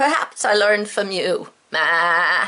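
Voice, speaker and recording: A woman puts on a character voice at medium pitch. Her pace is fairly slow. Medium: read story. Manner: bleating "ma" tag on sentences.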